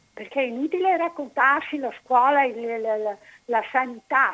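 This woman's voice is raised and projected, with a bright, sharp tone. Her pitch is high, and she talks at a fairly slow pace. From Italy, Padua. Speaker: caller. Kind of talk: phone-in opinion.

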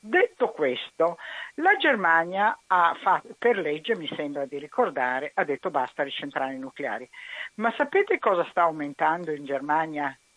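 Her pace moderate and her intonation lively, a woman speaks at a fairly low pitch in an unremarkable speaking voice. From Italy, Venice. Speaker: caller. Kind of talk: casual chat. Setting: phone call.

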